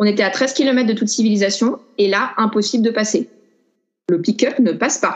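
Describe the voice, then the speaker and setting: Delivered at a fairly quick pace, it is an ordinary speaking voice. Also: woman. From France, Grenoble. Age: 30s. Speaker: traveller. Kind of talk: casual chat.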